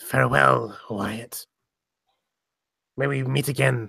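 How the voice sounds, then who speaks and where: The pace is fairly slow. He does a put-on character voice, pitched in the medium range. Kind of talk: formal, archaic farewell.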